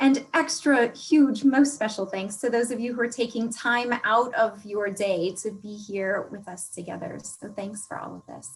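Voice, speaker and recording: Pitched fairly high, a woman talks at a moderate pace with hardly any pauses, ordinary pitch movement and big swings in loudness. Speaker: workshop facilitator. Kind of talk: online workshop presentation. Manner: animated.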